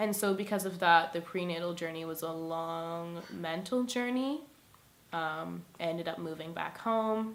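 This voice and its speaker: This woman has a plain, everyday voice, fairly low in pitch, with ordinary pitch variation and a fairly slow pace. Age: 20s. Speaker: single mother sharing her story. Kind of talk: personal testimony. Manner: casual with many fillers.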